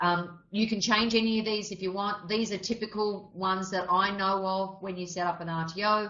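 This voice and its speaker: Her intonation monotone and flat, a woman with an Australian accent talks at a moderate pace and medium pitch. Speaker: RTO business consultant running a member webinar. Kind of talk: webinar presentation. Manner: casual, with frequent fillers.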